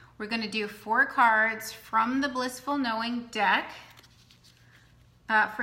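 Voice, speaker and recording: Fairly high in pitch, a woman speaks at a fairly slow pace with monotone, flat intonation and audible room echo. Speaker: oracle card reader and numerologist. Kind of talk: live stream card reading. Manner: casual, filler-heavy.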